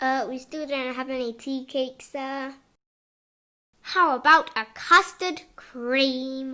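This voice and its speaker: In a put-on character voice, a woman speaks high and at a fairly slow pace. The recording is very clean with a silent background. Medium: audio drama. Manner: earnest, confused, deferential.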